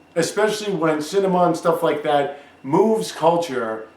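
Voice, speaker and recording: A man with a high pitch and ordinary pitch variation, at a fairly slow pace, amid noticeable background noise. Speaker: self-published author. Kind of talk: casual rant to camera.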